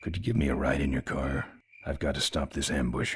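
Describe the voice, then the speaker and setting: In a raspy, put-on character voice with a very deep, low pitch, a man talks at a fairly quick pace. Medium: video game. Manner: terse, gruff.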